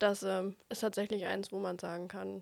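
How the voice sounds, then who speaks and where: A woman speaks at a medium pitch. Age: 20s. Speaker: trainee at a wholesale company. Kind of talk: casual interview. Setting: studio.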